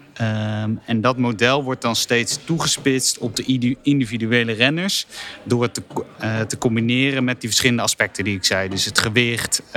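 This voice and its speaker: Noticeable background noise is present. A man speaks at a medium pitch with ordinary pitch variation. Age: 30s. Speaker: sports data analyst. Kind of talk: casual chat. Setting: company office.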